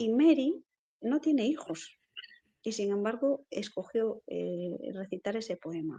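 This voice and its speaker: Fairly high in pitch with very wide pitch swings, a woman speaks at a very slow pace in a dark, mellow tone. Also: dry, close sound with no echo. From Galicia, Spain (Lugo). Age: 40s. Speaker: poet and writer. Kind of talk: interview.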